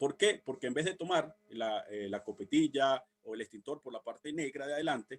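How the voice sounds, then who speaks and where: A man talks at a fairly quick pace with a fairly high pitch. His pitch variation is ordinary, and the sound is dry and close with no echo. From Venezuela. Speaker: civil protection instructor. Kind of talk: workshop lecture. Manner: fast; halting.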